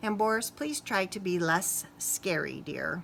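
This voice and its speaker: A female-sounding voice uses a put-on character voice at a medium pitch and a fairly slow pace. Background noise is clearly heard. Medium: read story.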